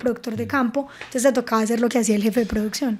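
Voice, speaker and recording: A woman in a Paisa accent, very fast, with monotone, flat intonation. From Antioquia, Colombia. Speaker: film producer and animation director. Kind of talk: podcast interview answer. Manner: cheerful, smiling.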